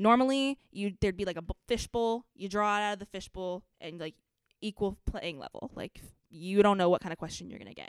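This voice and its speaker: A woman at medium pitch with ordinary pitch variation, big swings in loudness and a fairly quick pace, in a dry, close sound with no echo. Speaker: pageant title holder and college student. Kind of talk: casual chat. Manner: talks fast when nervous.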